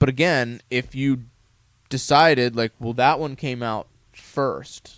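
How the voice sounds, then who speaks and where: At a fairly slow pace, a man talks in a normal speaking voice with medium pitch and ordinary pitch variation. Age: 30s. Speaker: gaming podcast co-host. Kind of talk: casual chat.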